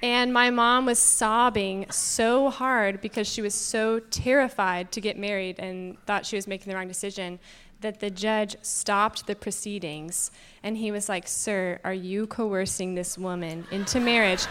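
In a very clean recording with a silent background, a woman talks with a Southern US accent. Her medium pitch and fairly even intonation come at a fairly slow pace. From Georgia (US). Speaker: panel guest, married woman. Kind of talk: panel discussion. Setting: stage with audience.

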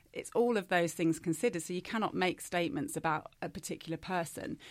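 A woman with a normal speaking voice talks at a fairly quick pace, her fairly low pitch showing ordinary pitch variation. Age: 40s. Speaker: style consultant. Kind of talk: casual chat.

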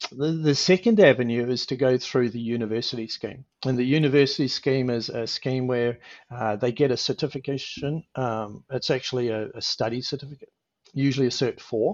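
A man with an Australian accent talks at a fairly quick pace, his medium pitch showing ordinary variation. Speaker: helicopter pilot. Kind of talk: interview. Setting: video call.

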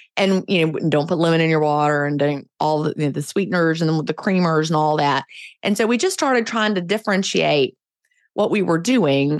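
On a very clean recording with a silent background, a woman with an unremarkable speaking voice talks at a fairly quick pace in a fairly low pitch, her intonation lively and her loudness very even. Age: 50s. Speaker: author and podcaster. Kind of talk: interview.

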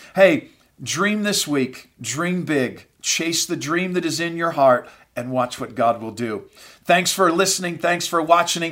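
The man's voice is high and energetic in tone. His pace is fairly slow. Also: lively intonation, very clean recording, silent background. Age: 50s. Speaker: pastor. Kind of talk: motivational podcast talk to ministry leaders. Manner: frequent fillers and repetitions.

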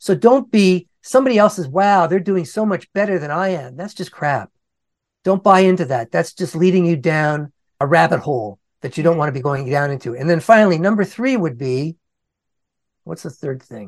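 Against a quiet background, a man with a high pitch speaks at a moderate pace, his intonation lively and his loudness swinging widely. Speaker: content creator and speaker. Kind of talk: interview answers, casual advice.

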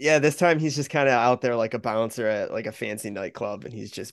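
A plain, everyday voice moves at a fairly quick pace with ordinary pitch variation. The background is quiet. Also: man, big swings in loudness. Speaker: podcast co-host. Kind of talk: casual chat.

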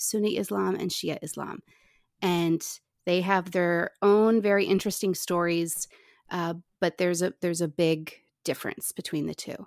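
Speaking at a moderate pace, a woman with a normal speaking voice uses fairly even intonation at a fairly low pitch, on a very clean recording with a silent background and a dry, close sound with no echo. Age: 40s. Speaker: podcast host. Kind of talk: interview.

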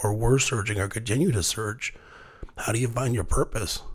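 Somewhat breathy, this man's voice stays at a medium pitch. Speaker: podcast host. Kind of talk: casual interview chat. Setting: home studio. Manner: animated, laughs often.

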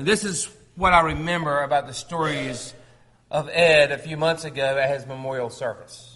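Here a man talks at a moderate pace with fairly even intonation. His loudness swings widely. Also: fairly high pitch for a man. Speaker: preacher. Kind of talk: sermon. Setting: church. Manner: halting.

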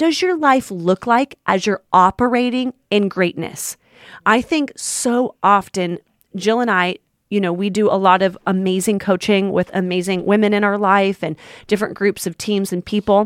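A woman with an ordinary speaking voice, medium pitch and ordinary pitch variation at a fairly slow pace, in a dry, close sound with no echo, on a very clean recording with a silent background. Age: 30s. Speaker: podcast co-host. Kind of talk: casual chat. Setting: studio.

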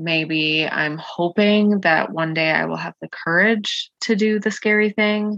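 Mumbling at a fairly slow pace, a woman speaks with hardly any pauses at a medium pitch and ordinary pitch variation. The sound is dry and close, with no echo. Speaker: podcast host and coach. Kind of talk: solo podcast monologue, personal sharing. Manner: vulnerable, reflective; occasional stutter, mumbling and filler ums.

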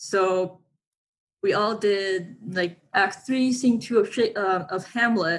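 The speech comes at a very slow pace with ordinary pitch variation. The voice is somewhat breathy. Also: woman, medium pitch for a woman. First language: not English. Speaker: aspiring actor and model. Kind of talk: interview. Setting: remote call.

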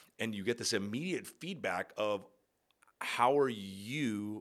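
In a normal speaking voice, a man talks at a fairly slow pace and fairly low pitch with ordinary pitch variation. The recording is very clean, the background silent. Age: 30s. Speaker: podcast host and yoga teacher. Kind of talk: solo podcast monologue. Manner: casual, filler-heavy.

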